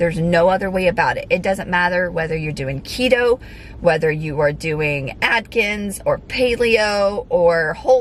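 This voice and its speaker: A woman's normal speaking voice at medium pitch, fairly slow and with lively intonation. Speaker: fitness vlogger and figure competitor. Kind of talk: casual vlog talk to camera. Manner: frequent fillers (um).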